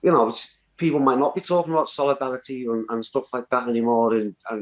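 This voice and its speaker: Very fast speech from a man with a northwest English accent, medium in pitch with ordinary pitch variation, in a dry, close sound with no echo. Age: 40s. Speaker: community activist. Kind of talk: interview. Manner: halting, many repeated words.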